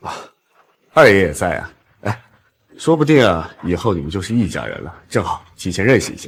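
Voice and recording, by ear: A man puts on a character voice with a low pitch, vocal fry and a slightly husky edge. He moves at a fairly quick pace with big pitch swings.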